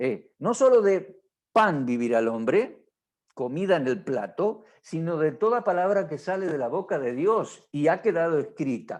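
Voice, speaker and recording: The voice moves at a fairly slow pace with very wide pitch swings. The background is quiet. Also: man. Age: 60s. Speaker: pastor. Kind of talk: marriage workshop teaching.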